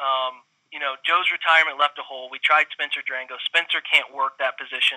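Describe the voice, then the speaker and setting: This man's voice is fairly high in pitch. He has a Midwestern American accent. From Central Ohio. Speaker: football film analyst, former college quarterback. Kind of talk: casual interview.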